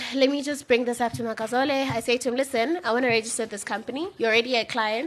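A woman speaks very fast in a high voice, barely pausing, with music playing behind her. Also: ordinary pitch variation. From South Africa, Eastern Cape. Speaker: PR agency owner. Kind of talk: radio interview.

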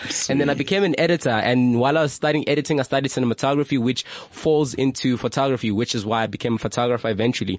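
A man's medium-pitched voice at a very fast pace with hardly any pauses, ordinary pitch variation, and noticeable background noise. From South Africa, Limpopo and Johannesburg. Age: 20s. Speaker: photographer. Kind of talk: casual chat. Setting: radio studio.

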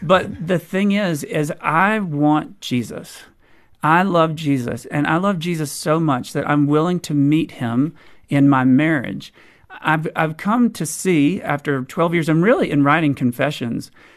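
Against a quiet background, a man with an American accent and a normal speaking voice talks at a fairly slow pace, fairly high in pitch with ordinary pitch variation. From US South. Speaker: author. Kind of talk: interview.

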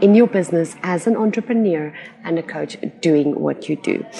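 Very wide pitch swings mark a woman's speech. Background noise is noticeable. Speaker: business coach and podcast host. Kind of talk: solo podcast monologue. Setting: recording outdoors.

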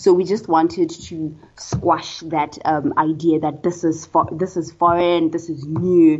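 With a Botswana accent, a woman talks in a monotone, flat intonation with hardly any pauses. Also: fairly low pitch for a woman. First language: Setswana. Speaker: social psychology researcher. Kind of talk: interview.

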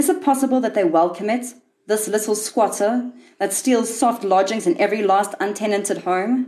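Fairly high in pitch, a woman with an ordinary speaking voice talks at a moderate pace, keeping ordinary pitch variation and very even loudness. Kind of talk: literary audiobook reading of a short story. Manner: measured, wry and darkly ironic storyteller's delivery.

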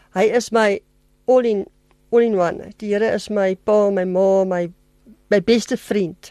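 A woman with a dark, mellow tone at medium pitch speaks with fairly even intonation and big swings in loudness, in a dry, close sound with no echo. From South Africa, Germiston (Gauteng). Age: 50s. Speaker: pet sitter, radio interview guest. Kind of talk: testimony interview. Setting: radio studio.

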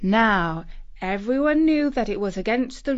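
The speaker uses a natural reading voice, and the intonation is lively.

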